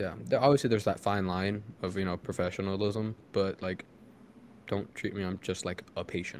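Speaking at a moderate pace, a man with an ordinary speaking voice and a fairly low pitch shows ordinary pitch variation. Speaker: podcast host. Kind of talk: casual chat.

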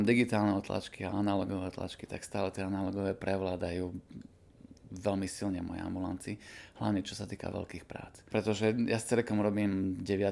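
In a monotone with flat intonation, a man speaks at a fairly low pitch with a dark, mellow tone. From eastern Slovakia, Košice. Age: 40s. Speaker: dentist. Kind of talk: interview.

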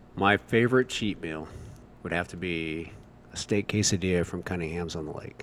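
A man's very deep, low voice with a Midwestern American accent, ordinary pitch variation and a moderate pace. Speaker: firefighter. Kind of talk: casual interview.

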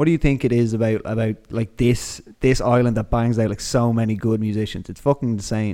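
This man talks in an Irish accent with a dark, mellow tone and fairly even intonation. His pace is fairly quick, with hardly any pauses. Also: medium pitch for a man. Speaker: podcast host. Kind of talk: casual interview chat.

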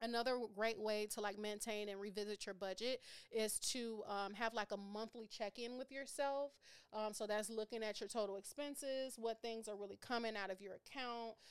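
A woman with an American accent, a fairly high pitch and an unremarkable speaking voice. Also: moderate pace. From Minneapolis, Minnesota, US Midwest. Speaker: financial educator. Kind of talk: casual interview.

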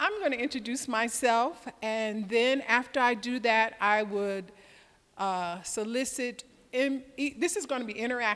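Here a woman with an American accent has a plain, everyday voice, pitched fairly high with ordinary pitch variation. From US South (Georgia). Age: 60s. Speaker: sales trainer, retired tech saleswoman. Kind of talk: lecture. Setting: stage with audience.

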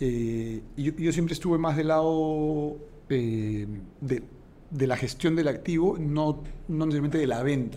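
In a Peruvian accent, a man speaks fairly slowly at a fairly high pitch with a dark, mellow tone and audible room echo. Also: ordinary pitch variation. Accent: Peruvian Spanish (Lima). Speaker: entrepreneur. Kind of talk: interview.

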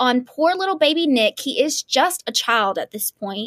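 A woman speaks in an animated tone at a moderate pace. Her pitch swings very widely. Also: dry, close sound with no echo. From small town. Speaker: podcast host. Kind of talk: casual chat.

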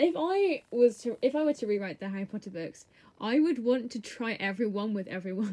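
The intonation has a lively lift. This is plain reading aloud.

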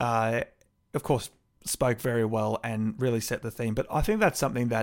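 A man with an Australian accent, medium pitch, moderate pace and fairly even intonation, on a very clean recording with a silent background. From Melbourne, Australia. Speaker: local councillor and podcast host. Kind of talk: solo podcast monologue. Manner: casual, with frequent fillers.

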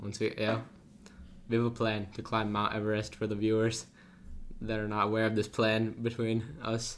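This man puts on a robotic character voice at a medium pitch, speaking at a moderate pace. His intonation is monotone and flat, and clear background noise is present. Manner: robotic, monotone delivery.

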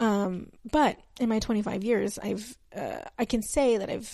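A woman's fairly high, dark, mellow voice in an American accent, with vocal fry, ordinary pitch variation, and a moderate pace. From Texas. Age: 20s. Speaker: podcast host. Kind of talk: solo podcast introduction, casual talk. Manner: talkative, rambling with tangents.

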